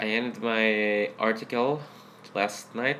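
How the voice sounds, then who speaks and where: A man speaks over noticeable background noise. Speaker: blogger and political commentator. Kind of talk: political rant. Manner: animated.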